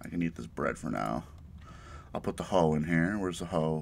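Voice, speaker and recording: A man speaks at a fairly quick pace with a very deep, low voice and vocal fry. Light background noise can be heard. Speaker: gaming YouTuber. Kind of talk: let's play commentary. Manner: casual, halting with fillers. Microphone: poor recording quality.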